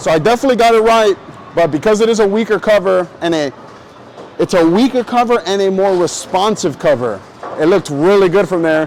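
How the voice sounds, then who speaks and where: An animated man with a high pitch talks fairly quickly at very even loudness and ordinary pitch variation, over noticeable background noise. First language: not English. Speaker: bowling youtuber. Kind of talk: casual tutorial while bowling. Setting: bowling alley. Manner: casual, animated.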